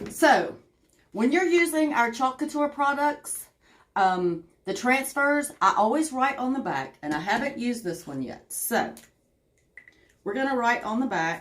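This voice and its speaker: A woman with a Southern US accent speaks in a high pitch at a fairly slow pace. Her tone is animated, with very wide pitch swings and long, frequent pauses. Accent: Southern twang. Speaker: craft livestreamer. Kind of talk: live crafting tutorial with chat. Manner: chatty, animated.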